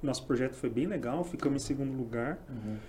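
A man is speaking in a room with audible echo. There is noticeable background noise as well. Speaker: tech startup founder. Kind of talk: casual chat.

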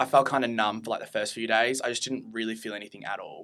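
Bright and sharp in tone, a man speaks at medium pitch with an Australian accent. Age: 20s. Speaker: student and mental health interviewee. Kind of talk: casual chat.

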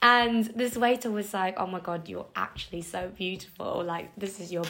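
A woman with a medium-pitched voice talks at a moderate speed while noticeable background noise runs underneath. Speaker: podcast co-host. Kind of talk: casual chat. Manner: giggly, animated.

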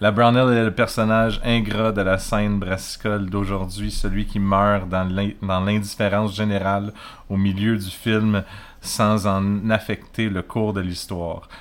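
In a very clean recording with a silent background, a man with a Quebec accent speaks at a fairly low pitch in a monotone, flat intonation. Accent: Québécois French. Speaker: beer podcast host. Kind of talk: casual chat.

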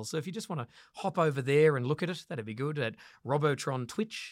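In a very clean recording with a silent background, a man with a fairly high voice talks at a fairly quick pace using ordinary pitch variation. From Western Australia. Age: 30s. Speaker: comedian. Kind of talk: casual chat. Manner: animated.

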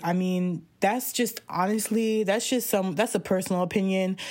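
Her intonation stays fairly even as this woman talks at a medium pitch. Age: 20s. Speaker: podcast host. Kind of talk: solo casual monologue. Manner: rambling with frequent fillers; chatty, laughs often.

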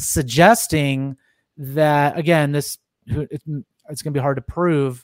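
Here a man uses a normal speaking voice at a fairly high pitch and a fairly slow pace. The recording is very clean, with a silent background and a dry, close sound with no echo. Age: 30s. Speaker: podcast host. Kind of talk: casual interview chat.

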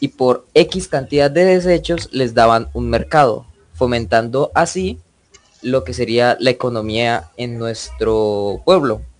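Music plays in the background as a man with a medium pitch speaks at a very slow pace with lively intonation. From Colombia, Santander (Barichara). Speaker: student podcast host. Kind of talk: moderated panel discussion.

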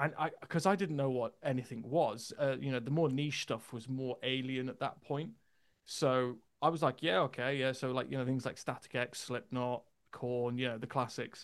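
A man with an unremarkable speaking voice, medium in pitch, with ordinary pitch variation and a moderate pace. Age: 30s. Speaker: metal vocalist. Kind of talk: casual chat.

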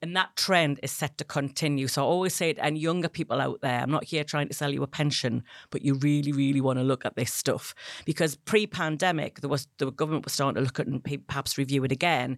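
A woman with a very deep, low voice speaks at a fairly quick pace with ordinary pitch variation. The recording is very clean, with a dry, close sound, no echo, and a silent background. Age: 50s. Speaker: menopause educator. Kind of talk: interview.

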